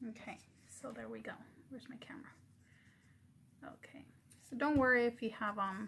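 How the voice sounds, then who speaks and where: A soft-spoken woman talks at a fairly quick pace in a high pitch, with ordinary pitch variation and big swings in loudness. Her pauses are long and frequent. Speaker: craft YouTuber. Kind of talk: tutorial. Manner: halting.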